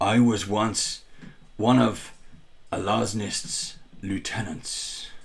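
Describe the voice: In a put-on character voice, a man speaks gravelly and fairly low, with fairly even intonation, at a very slow pace with long, frequent pauses. Audible echo surrounds him.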